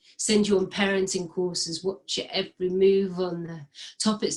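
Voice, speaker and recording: Speaking at a moderate pace, a woman keeps a medium pitch with monotone, flat intonation. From Cornwall, England. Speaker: spoken word performance artist, poet. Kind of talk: spoken word poetry performance, rhymed.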